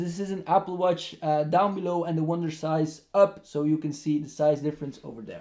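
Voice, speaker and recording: The man keeps to a moderate pace. He has a non-native accent. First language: not English. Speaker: tech reviewer. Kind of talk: product review. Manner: casual, with many hesitations.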